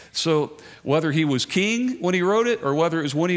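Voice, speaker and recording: The pace is moderate. The voice belongs to a man. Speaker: guest preacher. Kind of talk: sermon. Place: church. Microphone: headset.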